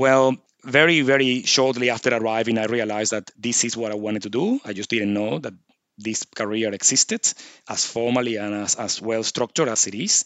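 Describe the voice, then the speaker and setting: With a Venezuelan accent, a man of medium pitch speaks at a fairly quick pace with fairly even intonation. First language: Spanish. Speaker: surgeon. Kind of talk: interview.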